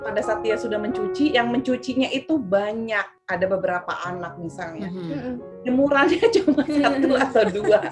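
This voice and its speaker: A woman speaks at a moderate speed. Behind her, music can be heard. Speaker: mother of a blind child. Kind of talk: interview answer.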